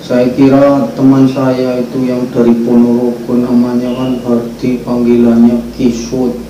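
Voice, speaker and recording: Delivered at a very slow pace in a monotone, flat intonation, the speech comes with audible room echo and noticeable background noise. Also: man. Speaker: migrant worker vlogger. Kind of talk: casual storytelling.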